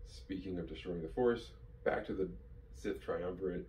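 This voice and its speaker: Moderate pace from a male speaker. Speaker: fan video host. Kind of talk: commentary. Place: home room.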